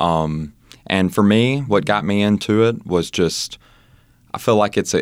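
This man has a Southern US accent. The audio is very clean, and the background is silent. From Mississippi, US South. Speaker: personal trainer. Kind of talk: casual interview. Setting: studio.

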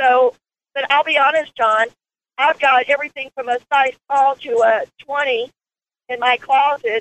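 A woman's high-pitched voice with an American accent, at a fairly slow pace. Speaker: caller, program client. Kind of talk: phone-in testimony. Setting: phone call while driving. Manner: excited, effusive.

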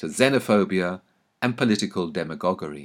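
On a very clean recording with a silent background, a man speaks with a southern English accent. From England, London (Anglo-Welsh). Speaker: author. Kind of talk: scripted narration. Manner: formal.

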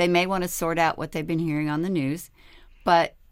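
At a fairly quick pace, a woman with an unremarkable speaking voice talks in a fairly low pitch, in a very clean recording with a silent background. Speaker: health insurance navigator. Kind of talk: radio interview.

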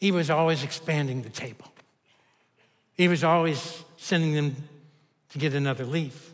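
A man with a Kentucky accent speaks at a moderate pace and a fairly high pitch. He takes long, frequent pauses. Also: fairly even intonation. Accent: Kentucky Southern US. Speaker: pastor. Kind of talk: sermon. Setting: church.

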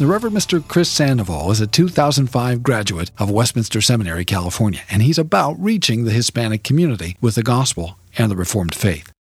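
A man's somewhat breathy voice with very wide pitch swings, very even loudness, and hardly any pauses. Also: medium pitch for a man, fairly quick pace. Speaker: radio host and seminary professor. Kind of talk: interview. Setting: studio.

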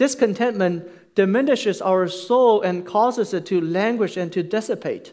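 A man speaks with a Chinese accent at a high pitch, moderate pace and lively intonation. The recording is very clean, with a silent background. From China. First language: Mandarin Chinese. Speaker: pastor. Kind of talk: sermon. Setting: church.

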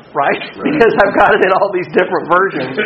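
Noticeable background noise runs through the clip. The speaker is a man with an American accent. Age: 40s. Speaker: workshop presenter, school technology director. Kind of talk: conference workshop talk. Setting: workshop room with live audience.

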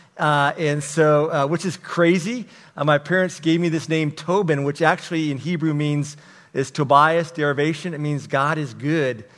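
This man has an ordinary speaking voice, pitched fairly high. His intonation stays fairly even at a moderate pace. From Texas. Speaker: pastor. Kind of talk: testimony.

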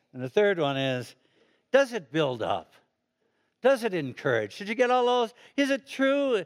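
A man's high-pitched voice with very wide pitch swings and long, frequent pauses. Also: moderate pace. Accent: American. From Chicago, US Midwest. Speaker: retired pastor. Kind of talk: sermon. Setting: church. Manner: animated.

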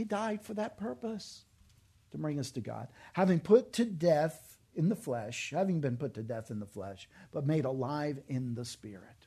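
Over a quiet background, a man with a fairly high pitch and a dark, mellow, somewhat breathy tone speaks at a moderate pace, with very wide pitch swings and big swings in loudness. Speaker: pastor. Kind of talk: sermon.

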